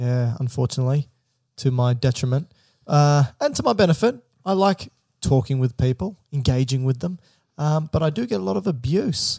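A man's medium-pitched voice with lively intonation, a dark, mellow tone and a somewhat breathy quality, at a moderate pace, in a dry, close sound with no echo and a very clean recording against a silent background. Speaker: medical podcast host. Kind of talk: casual chat. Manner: joking.

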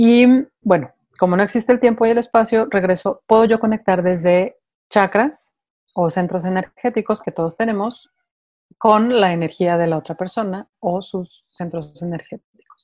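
A woman speaks at a moderate pace with medium pitch, ordinary pitch variation and an unremarkable speaking voice. The sound is dry and close with no echo, over a quiet background. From Mexico City. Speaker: meditation mentor and channeler. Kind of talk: interview.

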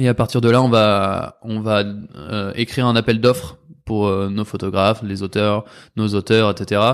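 Against a quiet background, a man speaks at a fairly low pitch. His intonation is monotone and flat. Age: 20s. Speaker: magazine co-founder. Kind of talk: casual chat.

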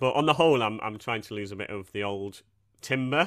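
A man is speaking. His pace is fairly quick. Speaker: comedian podcast co-host. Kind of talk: casual chat.

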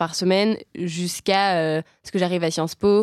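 The voice moves at a fairly slow pace with monotone, flat intonation. The sound is dry and close with no echo, on a very clean recording with a silent background. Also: woman. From France, Savoie. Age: 20s. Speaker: climate activist. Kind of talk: casual chat.

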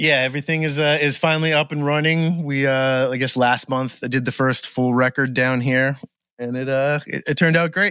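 Bright and sharp in tone, a man with an American accent talks at a fairly quick pace, his pitch fairly high and his intonation fairly even. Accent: faint New England, stronger when drinking. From Maine, US (Gardiner area). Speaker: drummer and recording engineer. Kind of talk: casual interview chat.

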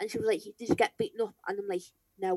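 Recorded dry and close with no echo, a woman speaks at a fairly high pitch with lively intonation in a Liverpool accent. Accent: Scouse. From Merseyside, England (St Helens area). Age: 20s. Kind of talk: interview. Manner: hesitant, filler-heavy.

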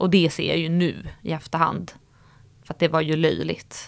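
A woman's very deep, low pitch with vocal fry, at a moderate pace with fairly even intonation, in a very clean recording over a silent background. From Stockholm, Sweden. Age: 30s. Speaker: influencer. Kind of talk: casual interview.

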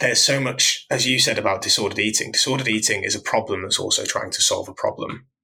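In a British accent, a man speaks at a very fast pace with hardly any pauses. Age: 30s. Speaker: fitness coach. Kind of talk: casual chat.

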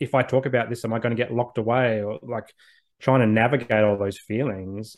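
A man with an Australian accent, medium pitch, fairly quick pace, and fairly even intonation. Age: 30s. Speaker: social worker and men's mental health advocate. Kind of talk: interview conversation.

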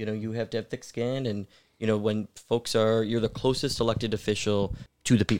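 A man with a plain, everyday voice and an American accent, medium pitch and ordinary pitch variation, on a very clean recording with a silent background. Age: 20s. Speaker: city council member. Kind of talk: casual podcast interview.

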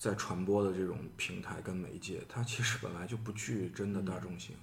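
A somewhat breathy man at a moderate pace, fairly low in pitch, with audible room echo. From Shaanxi, Xi'an. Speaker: artist. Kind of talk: podcast conversation.

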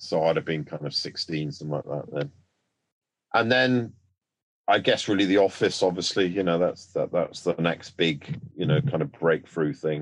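Speaking with an English accent at a moderate pace, a man with a very deep, low pitch uses lively intonation. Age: 60s. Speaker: actor. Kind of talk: casual chat.

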